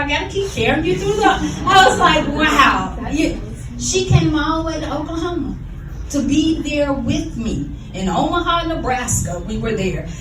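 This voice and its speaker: With a Southern US accent, a woman speaks at a moderate pace in an animated tone, with audible room echo and noticeable background noise. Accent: southern US, still audible. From US South. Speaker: educator. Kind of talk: eulogy. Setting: memorial service.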